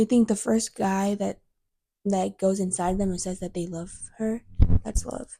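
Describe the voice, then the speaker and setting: A soft-spoken woman's voice at medium pitch, dark and mellow, with ordinary pitch variation, a moderate pace and long, frequent pauses. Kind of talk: casual chat.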